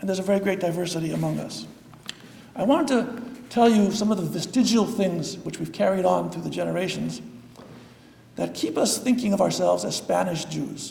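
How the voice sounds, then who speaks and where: Noticeable background noise and audible room echo surround this voice. A man with an American accent speaks at a fairly quick pace. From US Pacific Northwest, Seattle. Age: 60s. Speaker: rabbi. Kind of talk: lecture. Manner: halting.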